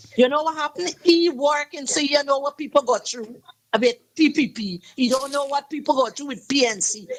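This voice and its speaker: Speaking with a Guyanese accent, a woman uses a high pitch, an animated tone, ordinary pitch variation, big swings in loudness and a fairly quick pace. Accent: Guyanese Creole English. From Guyana. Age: 60s. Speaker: caller. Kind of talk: call-in radio talk.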